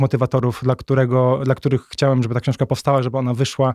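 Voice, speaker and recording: In a very clean recording with a silent background, a man at a medium pitch talks at a very fast pace, the sound dry and close with no echo. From north-eastern Poland (Warmia-Masuria). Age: 30s. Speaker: author. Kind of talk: casual interview.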